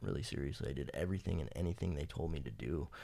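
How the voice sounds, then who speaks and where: A man with a very deep, low pitch, a dark, mellow tone and vocal fry, in an American accent, at a very fast pace with lively intonation. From Fresno, California. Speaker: person in addiction recovery. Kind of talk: personal testimony. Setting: podcast interview.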